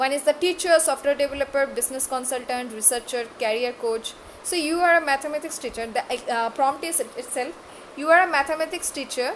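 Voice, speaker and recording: Over noticeable background noise, a woman talks at a fairly quick pace and a high pitch. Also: ordinary pitch variation. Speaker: online class instructor. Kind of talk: lecture. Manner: halting, many fillers.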